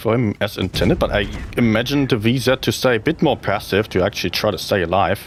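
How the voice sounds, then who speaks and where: With music in the background, a man with a strong German accent speaks at a fairly quick pace and a fairly low pitch. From Germany. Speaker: game streamer and tournament caster. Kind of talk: live-stream gameplay commentary. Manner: animated.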